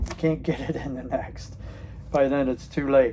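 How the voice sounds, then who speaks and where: Here is a man with a fairly high pitch. He speaks at a moderate pace with fairly even intonation. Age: 60s. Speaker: retired channel host. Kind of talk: casual talk to camera. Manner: hesitant, halting, many fillers.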